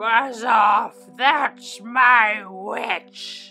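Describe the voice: A woman bellows and growls in a loud, put-on character voice, fairly high with vocal fry and a bright, sharp tone, at a very slow pace over faint background music. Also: ordinary pitch variation.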